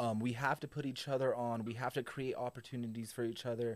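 Speaking at a very fast pace, a man is heard here. The recording is very clean, with a silent background. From Albuquerque, New Mexico. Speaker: comedian. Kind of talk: casual chat. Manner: animated.

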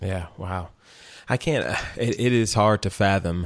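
Recorded very cleanly with a silent background, a man with very deep, low pitch speaks at a fairly slow pace. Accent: Texan. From Texas.

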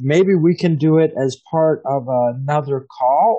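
This man has a plain, everyday voice with an American accent, a fairly high pitch and ordinary pitch variation. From Pennsylvania, US. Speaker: podcast host. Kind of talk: casual interview.

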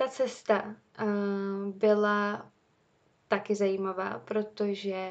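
A woman's voice sits at a medium pitch. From Czech Republic. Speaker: university student podcaster. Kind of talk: casual monologue.

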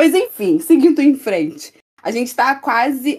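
In a normal speaking voice with lively intonation, a woman talks at a moderate pace on a very clean recording with a silent background. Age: 20s. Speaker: student podcast co-host, singer. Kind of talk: casual chat.

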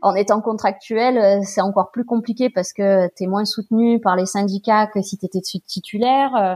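A woman's fairly high voice, an ordinary speaking voice, with fairly even intonation, dry, close sound with no echo, and a very clean recording against a silent background. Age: 30s. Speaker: guest sharing fertility treatment and work experience. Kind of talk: casual interview chat.

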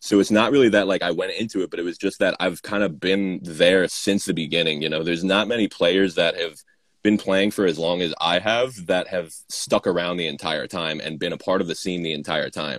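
Talking at a fairly quick pace in a New York accent, a man has a very deep, low pitch and ordinary pitch variation. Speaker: kendama player and distributor. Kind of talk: casual chat. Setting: video call.

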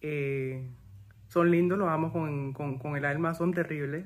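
A man's fairly high voice, fairly even in intonation, with audible room echo. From Panama. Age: 40s. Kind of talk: testimony.

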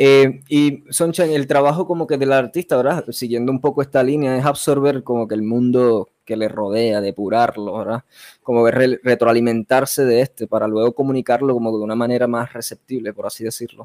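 A man speaks with a plain, everyday voice at medium pitch and a moderate pace, with fairly even intonation, hardly any pauses, and a dry, close sound with no echo. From Puerto Rico (Vega Baja). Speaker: podcast host. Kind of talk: interview.

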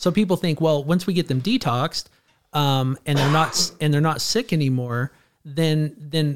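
A man with an American accent and an unremarkable speaking voice talks at a moderate pace, his fairly high pitch showing ordinary variation. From California, Clovis near Fresno. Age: 40s. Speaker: addiction counselor and trainer. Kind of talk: interview conversation.

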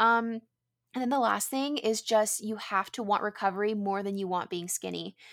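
A woman with an American accent speaks at a medium pitch with fairly even intonation. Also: moderate pace, very clean recording, silent background. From US West Coast, San Diego. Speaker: food entrepreneur and content creator. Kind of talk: interview.

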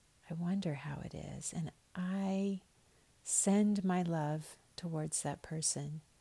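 Somewhat breathy, a woman with a fairly low pitch and a dark, mellow, gentle, soothing tone talks at a very slow pace with fairly even intonation. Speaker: spiritual podcaster. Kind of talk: fervent morning prayer, warm spoken blessing. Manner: gentle, tender, earnest and unhurried, with heartfelt repeated wishes; soothing and sincere, cadenced like a benediction.

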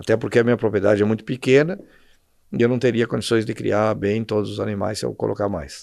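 A man speaks at a very fast pace with a fairly low pitch. His voice has vocal fry and ordinary pitch variation. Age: 60s. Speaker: endurance horse rider and shopkeeper. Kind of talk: casual interview. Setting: in his shop.

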